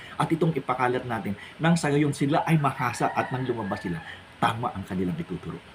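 A man talks at a very fast pace, his pitch swinging very widely. Noticeable background noise sits under the recording. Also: medium pitch for a man. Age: 60s. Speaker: pastor. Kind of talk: religious monologue vlog.

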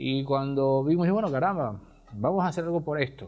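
This man's voice sits fairly high in pitch, with a dark, mellow tone, ordinary pitch variation and a moderate pace. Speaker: radio host. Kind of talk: casual chat. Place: studio. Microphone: lapel.

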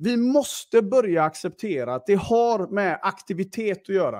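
This man speaks at a high pitch. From western Sweden, Gothenburg area. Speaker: podcast host, sales entrepreneur. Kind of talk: unscripted personal monologue. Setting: live stream. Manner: hesitant, many fillers.

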